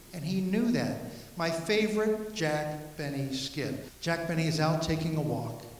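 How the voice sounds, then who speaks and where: A man with a fairly high pitch and an upbeat tone, over noticeable background noise. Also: ordinary pitch variation, moderate pace. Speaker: humorist and speaker. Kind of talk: live comedy talk to audience. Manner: upbeat, humorous.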